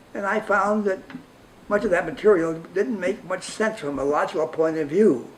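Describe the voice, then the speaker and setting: With an American accent, a man speaks at a moderate pace in a high pitch with ordinary pitch variation, over noticeable background noise. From New York (Brooklyn). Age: 90s. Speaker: interviewee, humanist group member. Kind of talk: personal life story interview.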